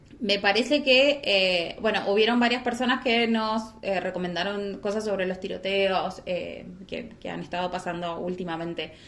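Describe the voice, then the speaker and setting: A woman talks at a fairly slow pace with ordinary pitch variation. Audible room echo and noticeable background noise sit behind her. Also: medium pitch for a woman, hardly any pauses. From Argentina, San Martín. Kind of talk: casual chat and true crime storytelling.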